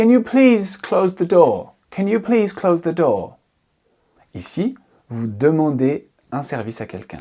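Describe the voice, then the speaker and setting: On a very clean recording with a silent background, the speaker talks at a very slow pace. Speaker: English teacher. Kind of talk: tutorial.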